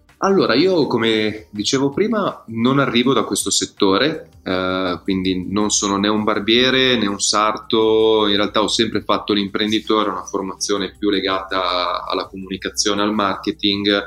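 The speaker keeps a moderate pace with hardly any pauses and fairly even intonation, against noticeable background noise. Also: man, fairly low pitch for a man. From Milan, northern Italy. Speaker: startup founder and barbershop owner. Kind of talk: interview. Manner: halting, with fillers and repetitions.

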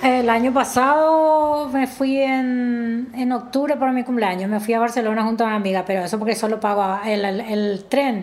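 Her fairly high pitch shows ordinary variation as this woman talks at a moderate pace, with very even loudness and hardly any pauses. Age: 50s. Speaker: domestic worker. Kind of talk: personal testimony interview. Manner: halting.

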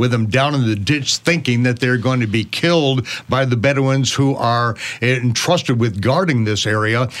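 Moderate pace and ordinary pitch variation in a plain, everyday voice, medium-pitched, from a man. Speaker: teacher and ministry host interviewing guest. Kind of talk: interview.

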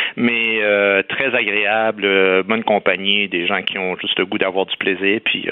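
Against noticeable background noise, a man speaks fairly slowly in a fairly low pitch with fairly even intonation. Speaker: comedian and commentator. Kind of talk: radio debate.

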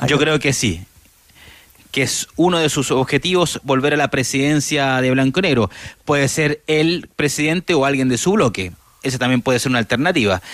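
A man talks in an ordinary speaking voice at a moderate pace and fairly high pitch. His loudness stays very even. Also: ordinary pitch variation. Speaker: sports reporter. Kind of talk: field report.

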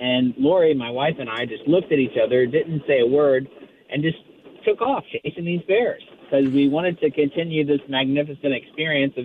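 In an American accent, a man with an unremarkable speaking voice and a fairly high pitch talks at a moderate pace. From Florida. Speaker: former congressman and author. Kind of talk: radio interview.

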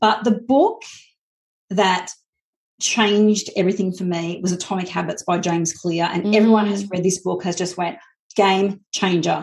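A woman's somewhat breathy voice at medium pitch and moderate pace, with fairly even intonation, against a quiet background. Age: 40s. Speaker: business coach. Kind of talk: casual chat. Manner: hesitant, many fillers.

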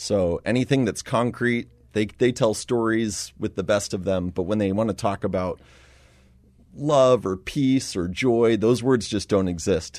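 With a plain, everyday voice, a man speaks fairly slowly at a fairly low pitch and with ordinary pitch variation. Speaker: missionary. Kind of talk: interview.

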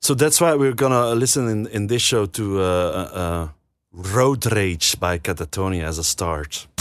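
With a fairly low pitch and lively intonation, a man speaks at a fairly slow pace on a very clean recording with a silent background. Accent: Dutch. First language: Dutch. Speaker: radio host. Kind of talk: casual chat. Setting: studio. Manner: halting.

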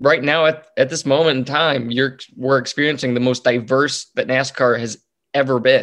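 A man at a medium pitch with an American accent, monotone and flat in intonation, at a moderate pace. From North Texas. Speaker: motorsport reporter and podcast host. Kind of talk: interview. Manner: halting, many repeated words and fillers.

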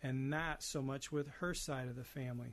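A man talks at a moderate pace with a fairly high pitch, and the background is quiet. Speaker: elder care financial planner. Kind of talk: advice segment.

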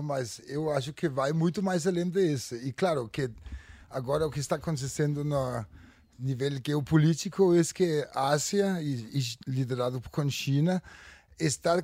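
A man with fairly high pitch and a Danish accent. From Denmark. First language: Danish (speaking Portuguese). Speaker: futurist. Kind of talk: panel discussion. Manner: halting.

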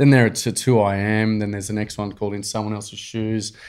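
Over a silent background in a very clean recording, a man with an Australian accent speaks at a fairly quick pace in a flat monotone. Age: 40s. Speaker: nonprofit founder. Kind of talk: casual chat.

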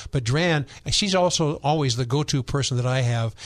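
A man talks at a medium pitch and a moderate pace in an unremarkable speaking voice. The background is quiet. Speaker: radio host and Bible teacher. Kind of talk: radio talk show. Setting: studio.

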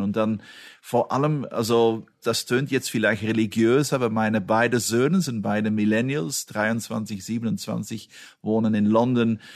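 Against a quiet background, a man with an ordinary speaking voice talks in a fairly low pitch with fairly even intonation. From Belgium. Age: 50s. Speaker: automotive executive. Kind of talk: interview.

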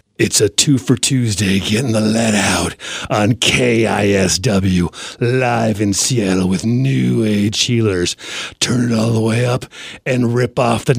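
Putting on a booming character voice at medium pitch, a man speaks at a fairly slow pace. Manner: wacky, corny, over the top.

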